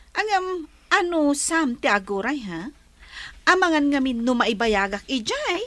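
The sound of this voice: Someone performs a put-on character voice at a fairly slow pace, with a fairly bright tone and big pitch swings. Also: woman, high pitch for a woman.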